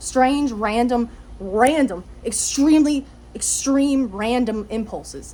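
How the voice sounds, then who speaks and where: Noticeable background noise behind a woman's fairly high-pitched voice. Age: 20s. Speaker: vlogger. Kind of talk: casual monologue. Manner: halting, many fillers.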